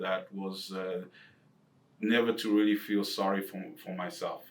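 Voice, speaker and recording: A man's fairly low, monotone voice with flat intonation and an Eastern European accent, at a moderate pace. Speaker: financial advisor. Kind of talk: casual chat.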